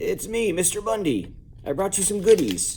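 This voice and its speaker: Doing a put-on character voice, a man sounds raspy at a high pitch, keeping a moderate pace. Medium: read story. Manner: smooth, scheming.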